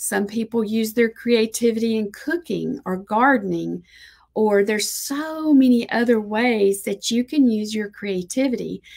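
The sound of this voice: A woman talks at a fairly slow pace in a fairly high, slightly mellow voice with vocal fry and ordinary pitch variation.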